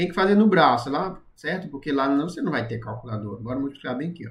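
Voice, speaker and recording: A man speaks at a fairly quick pace, his medium-pitched voice somewhat breathy. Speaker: math and physics teacher. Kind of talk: live-streamed tutorial. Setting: live stream.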